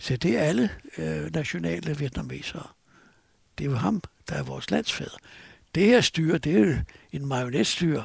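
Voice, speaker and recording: At a moderate pace, a man with a medium pitch and vocal fry swings his pitch very widely, leaving long, frequent pauses. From Copenhagen, Denmark. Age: 70s. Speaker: journalist. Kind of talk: interview, storytelling.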